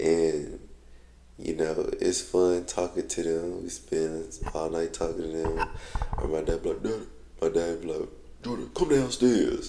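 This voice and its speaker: A man at a fairly slow pace, over noticeable background noise. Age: 20s. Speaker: vlogger. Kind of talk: casual vlog monologue.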